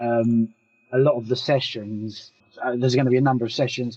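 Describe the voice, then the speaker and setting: In a British accent, a man speaks at a medium pitch with a monotone, flat intonation. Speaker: developer consultant. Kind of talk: question in Q&A.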